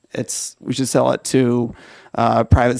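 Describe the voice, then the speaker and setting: This man's medium-pitched voice has vocal fry and a monotone, flat intonation, recorded with a dry, close sound and no echo. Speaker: member of the public testifying at a legislative hearing. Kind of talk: formal public testimony. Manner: stutters, hesitant with fillers.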